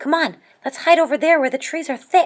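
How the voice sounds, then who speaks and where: A woman does a squeaky put-on character voice at a high pitch, moving at a fairly quick pace. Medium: read story.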